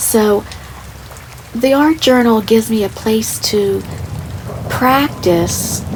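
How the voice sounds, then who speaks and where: Soft-spoken and very slow, the voice comes through noticeable background noise. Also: woman. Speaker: artist. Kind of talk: ASMR soft-spoken art tutorial talk. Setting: rain sounds in background.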